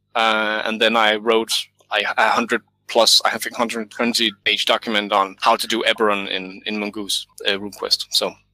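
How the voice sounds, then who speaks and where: At a fairly slow pace, a man speaks in a bright, sharp tone with monotone, flat intonation, the sound dry and close with no echo on a very clean recording with a silent background. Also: medium pitch for a man. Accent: Danish. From Denmark. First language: Danish. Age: 30s. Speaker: game designer and author. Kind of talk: interview about game design.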